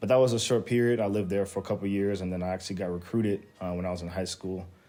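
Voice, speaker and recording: Music plays in the background as a man speaks with an American accent. His pitch is very deep and low, and his intonation fairly even. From Las Vegas, Nevada, USA. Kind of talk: interview answer.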